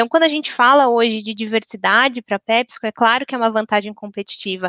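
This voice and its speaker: A woman's unremarkable speaking voice, fairly high in pitch and fairly quick, with ordinary pitch variation, sounding dry and close with no echo over a quiet background. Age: 30s. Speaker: corporate diversity and HR professional. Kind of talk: panel discussion.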